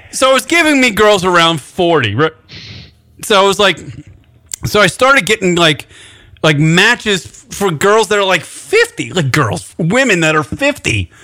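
Speaking at a fairly slow pace in a raised, projected voice, a man with an American accent has a high pitch and very wide pitch swings. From New York, Long Island. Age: 40s. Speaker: radio host. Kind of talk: casual chat. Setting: studio.

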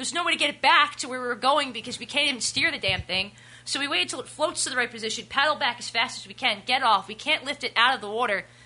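A woman's high-pitched, raised and projected voice at a very fast pace, with hardly any pauses and ordinary pitch variation. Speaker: guest. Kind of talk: casual chat. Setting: studio.

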